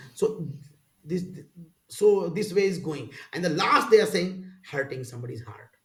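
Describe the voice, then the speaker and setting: With audible room echo, a man talks at a high pitch, his voice making very wide pitch swings and big swings in loudness. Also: moderate pace. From rural India. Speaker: spiritual teacher. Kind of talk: casual interview conversation. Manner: halting.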